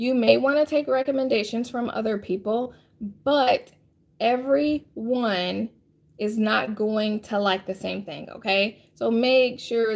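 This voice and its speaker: Her pitch fairly high and its variation ordinary, a woman speaks at a fairly slow pace. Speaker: firearms instructor and live-stream host; firearms instructor, live-stream host. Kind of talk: live stream Q&A and tutorial. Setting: live online broadcast. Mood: friendly, calm advice. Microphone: phone near.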